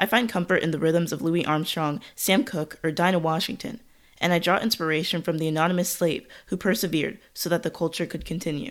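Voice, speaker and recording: A woman talks in a normal speaking voice, fairly low in pitch with ordinary pitch variation, at a fairly quick pace. The recording is very clean, with a silent background. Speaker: podcast host. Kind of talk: scripted narration.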